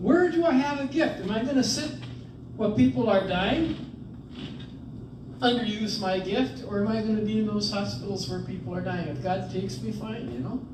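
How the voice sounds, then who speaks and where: Very wide pitch swings amid audible room echo and noticeable background noise. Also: man, high pitch for a man, moderate pace. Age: 70s. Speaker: priest and retreat presenter. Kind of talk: retreat talk. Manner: conversational.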